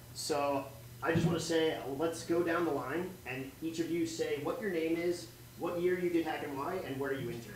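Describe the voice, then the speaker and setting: A man's fairly high voice at a moderate pace with ordinary pitch variation, amid audible room echo and light background noise. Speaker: program alumnus; presenter. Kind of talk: casual remarks on stage. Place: classroom.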